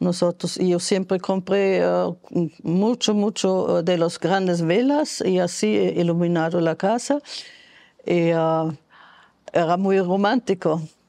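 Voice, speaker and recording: A woman speaks at a very slow pace with a dark, mellow tone, a fairly low pitch and ordinary pitch variation, her loudness very even against a quiet background. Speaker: foreign resident interviewee; interviewee. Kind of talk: testimony. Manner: halting, many hesitations. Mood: warm, nostalgic. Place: home room. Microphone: lapel.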